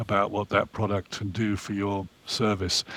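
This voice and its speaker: This man has a fairly low voice. He speaks at a moderate pace. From Orange County, California, US. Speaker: private equity investor. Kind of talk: interview.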